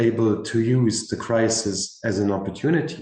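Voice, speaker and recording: With audible room echo around him, a man talks at a medium pitch in a dark, mellow tone with ordinary pitch variation. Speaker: career expert panelist. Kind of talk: panel discussion.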